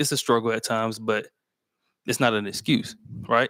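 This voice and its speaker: Over a silent background in a very clean, dry, close recording with no echo, a man talks at a very fast pace and a medium pitch. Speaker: book club host. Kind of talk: live book discussion. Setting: livestream. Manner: slurred at times.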